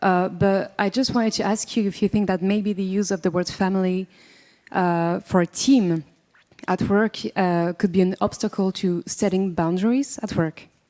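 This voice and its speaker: In a French accent, a dark, mellow voice moves at a moderate pace with fairly even intonation, recorded very cleanly against a silent background with a dry, close sound and no echo. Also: woman, medium pitch for a woman. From France. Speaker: audience member asking a question. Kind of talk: audience question. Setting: conference room with audience.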